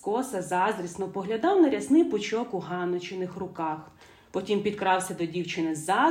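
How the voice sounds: Lively intonation in a natural reading voice.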